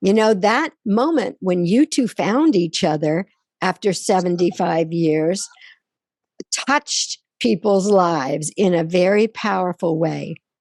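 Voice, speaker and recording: Here a woman talks fairly slowly in an unremarkable speaking voice at medium pitch, with lively intonation. Her loudness is very even, and the sound is dry and close with no echo. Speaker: radio show host. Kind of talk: podcast interview host.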